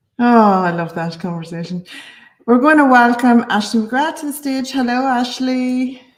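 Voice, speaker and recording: With an Irish accent, a woman speaks at a moderate pace, high in pitch and lively in intonation. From Ireland, County Monaghan, border area. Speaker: launch interview host. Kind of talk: online interview. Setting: online video interview. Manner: enthusiastic, animated.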